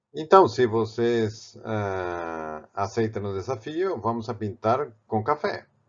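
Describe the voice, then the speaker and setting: With a Spanish accent, a man speaks at a fairly low pitch. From Spain, Barcelona. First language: Spanish (or Catalan) (speaking Portuguese). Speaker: art professor and painter. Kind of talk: tutorial. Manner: halting, with repeated words and fillers.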